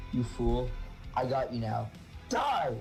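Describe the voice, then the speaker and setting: A gruff, put-on character voice. Clear music plays in the background. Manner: menacing, gloating.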